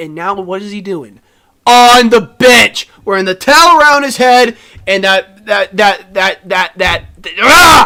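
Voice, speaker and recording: A man's raised, projected voice, high in pitch, with lively intonation and big swings in loudness. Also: fairly slow pace. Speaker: sports podcast co-host. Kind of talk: casual chat. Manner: animated.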